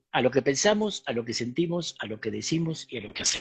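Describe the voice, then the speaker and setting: Very wide swings of pitch in a man's speech. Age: 60s. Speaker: spiritual teacher and author. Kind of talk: talk in an online interview.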